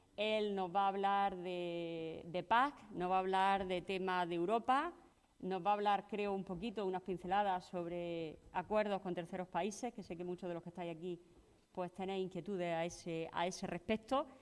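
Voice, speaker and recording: Fairly even intonation and a moderate pace in a normal speaking voice. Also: woman, medium pitch for a woman. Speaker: event moderator. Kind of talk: conference introduction.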